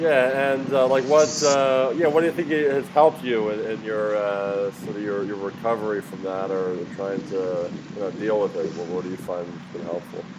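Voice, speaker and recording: Speaking in an American accent, a man has a fairly low pitch and lively intonation. Noticeable background noise runs underneath. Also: moderate pace. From Philadelphia, US. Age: 30s. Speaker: podcast interviewer. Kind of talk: casual interview. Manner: halting, many fillers.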